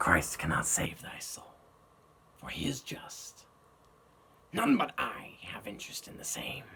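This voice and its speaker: A man's raspy, put-on character voice, fairly high in pitch, fairly slow, with long, frequent pauses. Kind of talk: dramatic monologue performance.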